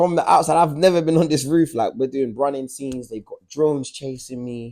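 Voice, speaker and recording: Speaking at a fairly quick pace with a South London accent, a man has a fairly high pitch, a dark, mellow tone, ordinary pitch variation and big swings in loudness. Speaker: actor and writer. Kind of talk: interview answer. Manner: casual, conversational.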